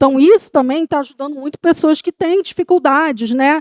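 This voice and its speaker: The woman's voice moves with ordinary pitch variation. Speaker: trend researcher. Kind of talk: conference presentation. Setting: stage with audience. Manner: fast.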